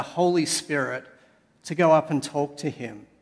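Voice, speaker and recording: With an Australian accent, a man speaks at a fairly slow pace and a fairly high pitch. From Sydney, Australia. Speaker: pastor. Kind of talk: sermon. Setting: church.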